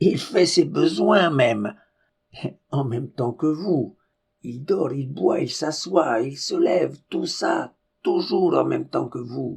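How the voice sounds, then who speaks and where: Using a put-on character voice, a man speaks at a fairly slow pace, raspy and fairly high-pitched. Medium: read story. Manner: methodical, explanatory.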